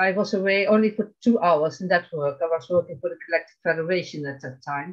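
With a Dutch accent, a woman speaks at a fairly low pitch against a quiet background. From Netherlands. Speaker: abuse survivor; interview guest. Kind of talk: testimony. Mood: earnest, recounting trauma. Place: home room. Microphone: video call.

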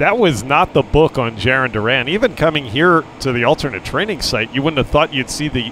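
This man speaks at a moderate pace in a medium pitch, his voice swinging very widely up and down, with noticeable background noise behind him. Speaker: baseball broadcaster. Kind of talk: live sports commentary, relaxed play-by-play with analysis. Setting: ballpark broadcast, streamed online. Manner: conversational, easygoing.

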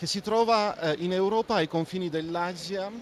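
Speaking at a fairly slow pace with an Armenian accent, a man is heard in a dry sound with no echo over light background noise. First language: Armenian (speaking Italian). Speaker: ambassador; interviewee. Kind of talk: interview. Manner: halting, many fillers. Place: studio. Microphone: handheld.

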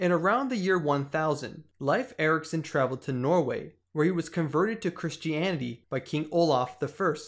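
In a quiet background, a man with a plain, everyday voice and fairly high pitch speaks at a moderate pace with ordinary pitch variation. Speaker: history video narrator. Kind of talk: scripted documentary narration, explanatory and even. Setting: online video voiceover. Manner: measured, steady, formal.

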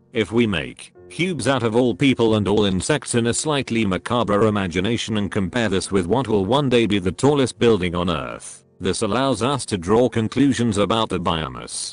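Fairly low male speech with hardly any pauses, dry with no echo, over background music. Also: ordinary pitch variation, moderate pace. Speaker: narrator. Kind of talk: educational narration.

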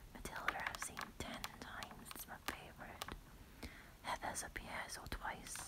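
Whispering at a fairly slow pace, a woman shows big swings in loudness. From United Kingdom. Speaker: ASMR creator. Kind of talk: ASMR room tour, casual talk to camera. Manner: whispered, quiet. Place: home room. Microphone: phone near.

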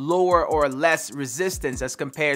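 Ordinary pitch variation marks this voice, with faint music in the background. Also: man. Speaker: fitness creator. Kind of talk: product intro / tutorial chat. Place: home room.

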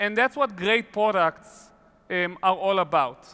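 At a fairly slow pace, a man uses a raised, projected voice against a quiet background. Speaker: keynote speaker. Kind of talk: keynote talk. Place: stage. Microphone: headset.

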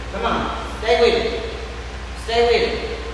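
A woman speaks at a very slow pace. Strong room echo and light background noise are audible. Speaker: fitness instructor. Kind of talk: workout class cueing and counting. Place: gym.

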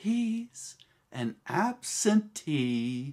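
A man speaks with very wide pitch swings. The background is quiet. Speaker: amateur actor performing a monologue. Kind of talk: dramatic acted monologue. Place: home room.

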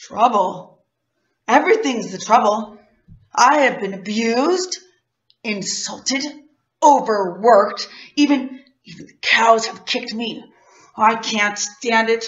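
A woman's husky, put-on character voice at a fairly high pitch, fairly slow in pace with long, frequent pauses. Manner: indignant, haughty.

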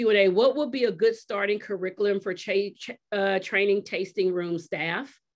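Against a quiet background, a woman with an American accent speaks at a fairly slow pace. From US South. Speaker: wine industry advocate and writer; panelist, moderator. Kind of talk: keynote then panel moderation. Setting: video call. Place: home room. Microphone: video call.

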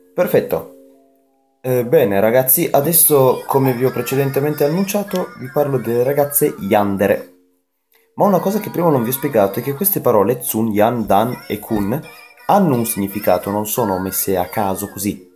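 A man at a moderate pace, with faint music in the background. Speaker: anime youtuber. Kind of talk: casual vlog chat. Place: home room. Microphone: webcam.

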